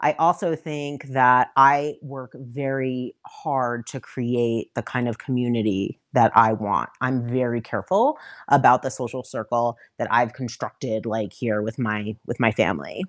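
A woman with an American accent, very deep and low in pitch with ordinary variation, fairly slow, in a dry, close sound with no echo on a very clean recording with a silent background. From New York area, Westchester County. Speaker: filmmaker. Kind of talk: casual chat.

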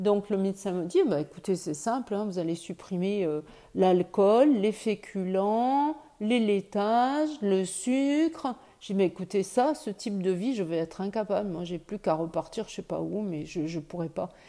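On a very clean recording with a silent background, a woman with a dark, mellow tone speaks fairly slowly with lively intonation. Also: medium pitch for a woman. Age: 60s. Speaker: breast cancer patient. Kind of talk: testimony.

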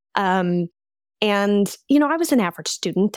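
A woman with an American accent and a normal speaking voice, medium in pitch, at a fairly quick pace, on a very clean recording with a silent background. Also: dry, close sound with no echo. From US Midwest and Colorado. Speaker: coach and former war correspondent. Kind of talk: podcast interview.

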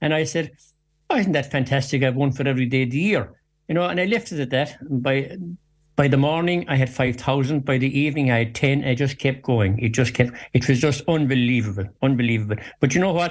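Speaking very fast with a western Irish accent, a man has a medium, somewhat breathy voice with ordinary pitch variation, captured on a very clean recording with a silent background. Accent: rural west of Ireland. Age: 60s. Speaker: farmer and social media personality. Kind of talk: radio interview.

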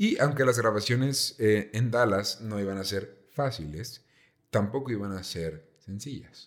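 In a Mexican accent, a man with a fairly low pitch speaks in an animated tone at a fairly slow pace with ordinary pitch variation, on a very clean recording with a silent background. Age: 20s. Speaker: podcast host. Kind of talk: casual storytelling chat.

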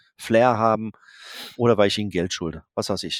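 An unremarkable speaking voice from a man, medium in pitch with ordinary pitch variation, in a dry, close sound with no echo. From Germany, Darmstadt. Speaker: photographer. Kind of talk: interview. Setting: video call.

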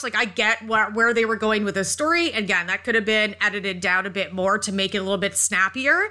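A woman with a normal speaking voice, a fairly high pitch and a fairly quick pace. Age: 30s. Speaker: horror podcast co-host. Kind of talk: casual chat.

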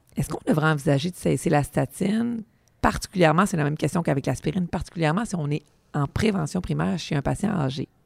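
A woman speaks very fast in a very deep, low voice that is somewhat breathy, with lively intonation. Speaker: podcast host, pharmacist. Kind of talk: interview.

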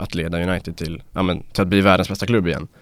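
With a very deep, low pitch, this man talks fairly fast. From Sweden, Dalarna. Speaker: journalism student. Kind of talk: casual chat. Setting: studio.

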